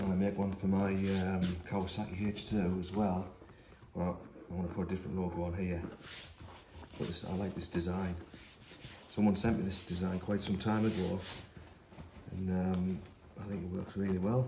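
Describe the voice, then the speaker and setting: A man speaks in a very deep, low voice with a flat, monotone delivery, leaving long and frequent pauses over noticeable background noise. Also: moderate pace. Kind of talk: tutorial. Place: workshop. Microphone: camera far.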